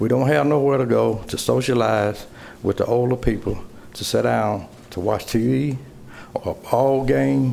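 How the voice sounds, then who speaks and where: Audible echo from the room surrounds a man who talks at a moderate pace. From US South. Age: 60s. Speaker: resident speaking at public hearing. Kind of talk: public comment. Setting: city council chamber podium.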